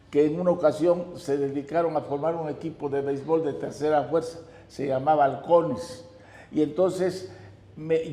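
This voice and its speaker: A man speaks at a moderate pace with a fairly high pitch and fairly even intonation, with noticeable background noise behind him. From Mexico, Oaxaca city. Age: 90s. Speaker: notary and amateur baseball player. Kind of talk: interview, personal reminiscence.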